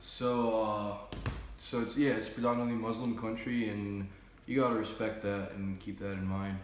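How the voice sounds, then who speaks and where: Amid noticeable background noise and audible room echo, a man speaks at medium pitch with an American accent and monotone, flat intonation. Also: moderate pace. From Jordan (Amman), American-born. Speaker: interviewee, student. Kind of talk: casual interview. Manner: casual, hesitant with fillers.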